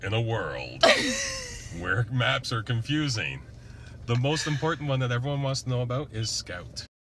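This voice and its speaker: A booming, put-on character voice from a man at medium pitch, dramatic in tone, at a moderate pace with long, frequent pauses and clear background noise. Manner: dramatic, announcer-like.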